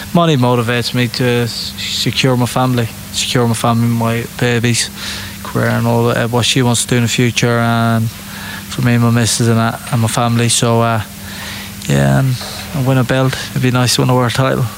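A man's medium-pitched voice with ordinary pitch variation and very even loudness, amid noticeable background noise and audible room echo. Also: moderate pace. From England, Irish traveller community. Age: 20s. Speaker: professional boxer. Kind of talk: interview.

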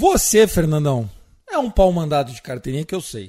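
A man's voice with very wide pitch swings. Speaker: podcast host. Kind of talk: casual chat. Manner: animated.

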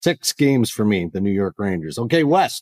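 With a Canadian accent and a normal speaking voice, a man talks at a moderate pace and medium pitch in a very clean recording with a silent background and a dry, close sound with no echo. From Canada. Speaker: podcast host. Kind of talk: casual chat.

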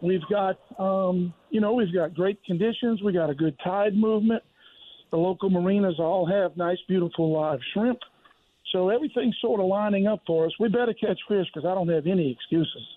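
With a Southern US accent, the speaker keeps a very even loudness, ordinary pitch variation and a moderate pace. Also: man, high pitch for a man. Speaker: charter fishing captain. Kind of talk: casual chat.

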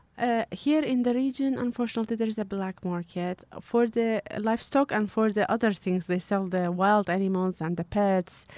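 Speaking in a Kurdish accent, a woman keeps a fairly high pitch with ordinary variation and hardly any pauses. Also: moderate pace. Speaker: animal rights activist. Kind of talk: interview. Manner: halting.

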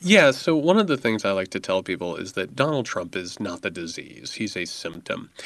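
With an American accent, the speaker uses very wide pitch swings at a moderate pace with hardly any pauses. The background is quiet. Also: man, fairly low pitch for a man. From US Midwest, rural southern Indiana. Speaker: author. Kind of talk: interview. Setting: remote from Indiana.

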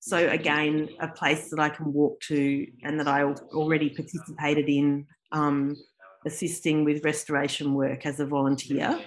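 In an Australian accent, a woman speaks with a very deep, low pitch. Her intonation is a flat monotone at a moderate pace. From South Australia, Adelaide. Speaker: artist and art lecturer. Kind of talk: interview.

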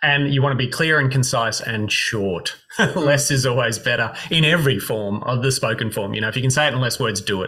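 At medium pitch, a man talks at a fairly quick pace. His pitch variation is ordinary, and there is noticeable background noise. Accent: Australian. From Brisbane, Queensland, Australia. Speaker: speech and performance coach. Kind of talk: interview.

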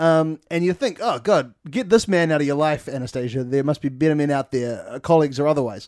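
An ordinary speaking voice. A man talks at a fairly high pitch with ordinary pitch variation. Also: fairly quick pace. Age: 20s. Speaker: podcast co-host, film comedy. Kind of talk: casual chat.

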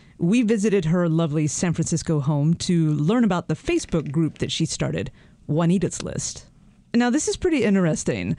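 A woman with a normal speaking voice talks at a fairly quick pace, her pitch fairly low and her intonation lively. Loudness stays very even on a very clean recording with a silent background. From North Carolina. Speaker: radio news producer, co-host. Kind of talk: podcast narration and conversation.

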